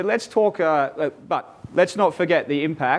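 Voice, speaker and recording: The speaker is a man with an Australian accent. He talks at a moderate speed. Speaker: transport company executive. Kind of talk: webinar presentation. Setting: online webinar.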